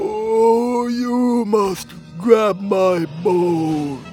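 A man puts on a breathy character voice with a high pitch. Clear music plays in the background. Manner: creepy, overacted.

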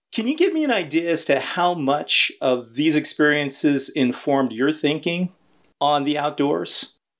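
A man talks in a plain, everyday voice at a fairly high pitch with ordinary pitch variation. He keeps a moderate pace and very even loudness. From Los Angeles. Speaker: podcast host. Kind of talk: interview.

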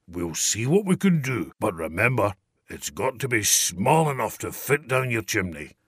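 A man's put-on character voice, raspy and rumbling, at a medium pitch with very wide pitch swings and a moderate pace, in a very clean recording with a silent background. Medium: read story.

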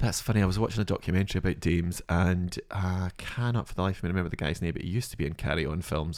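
Speaking in a Scottish accent at a very fast pace with hardly any pauses, the voice keeps ordinary pitch variation in a very clean recording over a silent background. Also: man, very deep, low pitch for a man. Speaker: comedian and actor. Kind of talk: casual chat. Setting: studio.

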